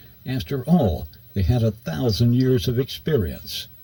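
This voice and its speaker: At a moderate pace and medium pitch, a man speaks in a dark, mellow tone that is somewhat breathy. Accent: American. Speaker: radio broadcaster. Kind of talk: audiobook narration.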